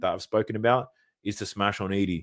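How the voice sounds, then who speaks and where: A man with an Australian accent is heard in a very clean recording with a silent background. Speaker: sports betting content creator. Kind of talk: livestream Q&A. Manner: deep breaths between sentences.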